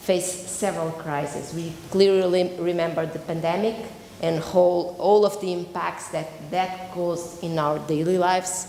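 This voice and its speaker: Audible room echo and noticeable background noise surround a woman speaking at a moderate pace, her pitch fairly low and her intonation fairly even. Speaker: professor and researcher. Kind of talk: conference presentation. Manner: loud.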